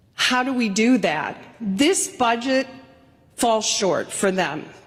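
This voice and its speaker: Over noticeable background noise, a woman speaks at a very slow pace with lively intonation. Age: 60s. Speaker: state legislator, minority leader. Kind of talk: floor speech. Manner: formal.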